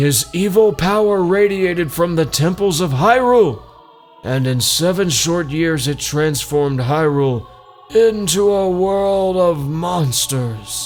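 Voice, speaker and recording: A man puts on a character voice with a high pitch and lively intonation. He speaks at a fairly slow pace over music in the background. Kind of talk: solemn game dialogue reading. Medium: game stream. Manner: grave, formal.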